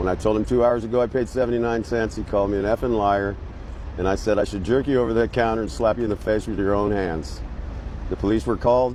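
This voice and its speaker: Noticeable background noise sits behind a man who talks very fast. His pitch is fairly low, with ordinary variation. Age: 60s. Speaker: homeless man interviewed on the street. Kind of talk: street interview. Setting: outdoors in a city square.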